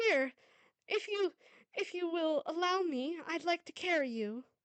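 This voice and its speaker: In a put-on character voice, this woman talks fairly slowly, her extremely high pitch making very wide swings. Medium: read story. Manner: warm, earnest.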